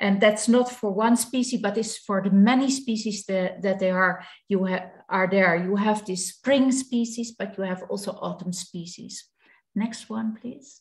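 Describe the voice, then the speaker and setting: The voice comes in a Dutch accent, somewhat breathy, at a fairly slow pace. Intonation is fairly even against a quiet background. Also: woman. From Netherlands. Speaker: beekeeper; presenter. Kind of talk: webinar presentation. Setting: video call. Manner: halting. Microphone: video call.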